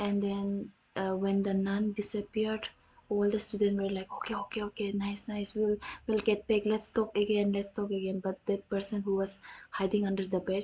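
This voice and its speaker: In an Indian accent, a woman speaks at a moderate pace and medium pitch, her dark, mellow tone somewhat breathy and her intonation monotone and flat. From North India. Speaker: vtuber streamer. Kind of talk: storytelling on a livestream. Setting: livestream. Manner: halting, many restarts.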